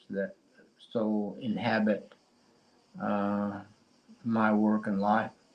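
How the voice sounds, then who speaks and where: A man speaks very slowly in a Cheyenne accent. His voice is fairly low in pitch. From Oklahoma, US (Cheyenne). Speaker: poet. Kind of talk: poetry reading with discussion. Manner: halting, many fillers.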